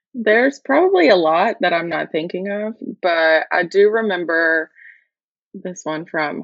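The speaker talks with an Alabama accent at a fairly slow pace. Pitch varies in an ordinary way. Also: woman. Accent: Southern US (Alabama). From US South, north Alabama. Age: 20s. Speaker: marketing employee. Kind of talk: casual interview.

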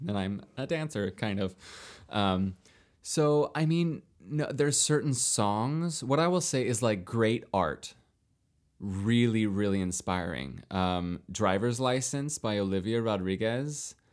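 A man with medium pitch and an unremarkable speaking voice talks at a fairly slow pace with lively intonation. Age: 30s. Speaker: actor and dancer, podcast guest. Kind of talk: casual chat.

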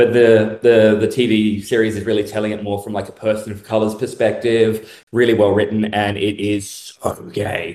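A man speaks in a fairly low pitch at a moderate pace. He has a plain, everyday voice. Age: 30s. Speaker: self-identified real-life vampire. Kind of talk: casual interview chat.

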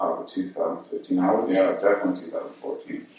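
A quiet man, calm in tone, at a fairly slow pace. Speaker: band co-founder. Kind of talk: casual interview chat. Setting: in person in studio. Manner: quiet, takes his time, calm.

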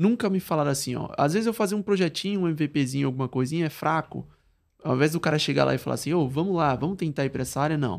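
Speaking at a very fast pace, a man with a fairly high pitch and ordinary pitch variation comes through on a very clean recording with a silent background. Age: 20s. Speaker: product designer and musician. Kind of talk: casual interview.

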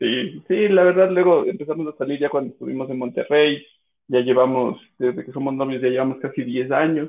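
Speaking with a Cuenca Ecuadorian accent, a man with a fairly high pitch talks at a fairly quick pace with ordinary pitch variation. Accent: Cuenca accent, noticeable. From Ecuador, Cuenca. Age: 30s. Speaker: podcast guest. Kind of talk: casual chat. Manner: halting, many repetitions.

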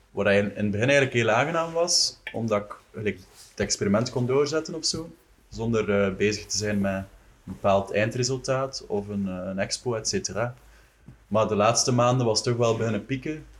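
A man talks at a moderate pace with an unremarkable speaking voice. His pitch is medium, with ordinary pitch variation. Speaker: visual artist. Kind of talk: casual chat.

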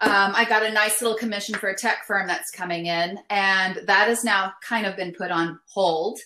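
At a moderate pace and with hardly any pauses, a woman of medium pitch talks in a normal speaking voice with an American accent and fairly even intonation. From West Texas, El Paso. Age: 50s. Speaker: visual artist. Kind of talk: casual chat. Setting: remote call.

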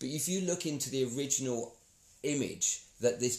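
With a somewhat breathy quality, the man speaks at medium pitch and ordinary pitch variation. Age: 40s. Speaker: podcast co-host. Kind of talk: casual chat.

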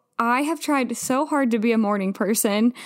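An unremarkable speaking voice from a woman, fairly high in pitch with ordinary pitch variation, at a moderate pace in a very clean recording with a silent background. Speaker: podcast host. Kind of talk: casual chat.

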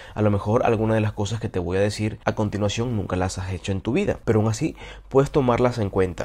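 A man's fairly low, dark and mellow voice, somewhat breathy, at a very fast pace with ordinary pitch variation. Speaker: podcast host. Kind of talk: solo monologue on self-improvement.

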